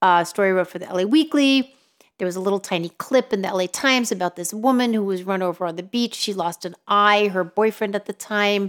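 A woman with an American accent at a medium pitch and a very fast pace, with ordinary pitch variation, in a very clean recording with a silent background. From New York City. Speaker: journalist. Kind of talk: casual interview conversation. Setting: in-person studio recording.

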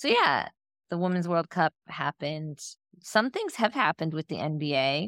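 With an American accent, a woman in a normal speaking voice talks at a moderate pace and fairly low pitch with lively intonation, in a dry, close sound with no echo on a very clean recording with a silent background. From Northeastern Ohio, US. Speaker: sports podcast co-host. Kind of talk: casual chat.

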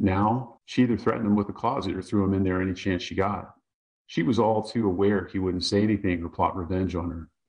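This is plain reading aloud with fairly even intonation. The background stays quiet.

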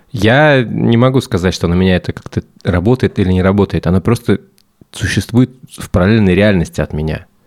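Lively intonation and a fairly quick pace come through on a very clean recording with a silent background and a dry, close sound with no echo. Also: man. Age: 30s. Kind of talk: casual chat.

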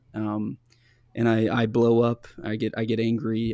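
A man speaks with an American accent in an ordinary speaking voice, at a medium pitch with fairly even intonation. The sound is dry and close, with no echo. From US Midwest, small town in northeast Kansas. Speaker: pastor and writer, former talk radio host. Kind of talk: interview, personal testimony. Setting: video call.

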